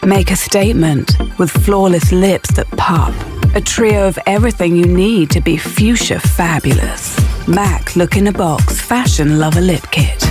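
Dry sound with no echo, plus clear music in the background. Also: woman, fairly slow pace. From United Kingdom. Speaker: voice actor. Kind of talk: TV commercial read. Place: booth.

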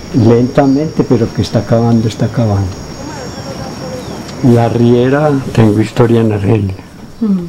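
A man talks at a fairly slow pace with ordinary pitch variation. Noticeable background noise runs underneath. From Antioquia, Colombia. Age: old. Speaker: peasant community leader. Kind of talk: interview answer. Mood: relaxed, reminiscing. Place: home room.

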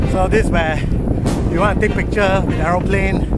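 A man speaks over background music, the sound dry with no echo. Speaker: cycling vlogger. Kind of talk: casual vlog chat. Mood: relaxed, cheerful. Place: open country. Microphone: phone near.

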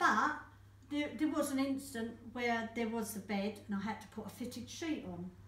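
Audible room echo surrounds a woman speaking at a moderate pace. Her pitch is fairly high, with ordinary variation. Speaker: caregiver. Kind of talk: interview answer. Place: office. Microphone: camera far.

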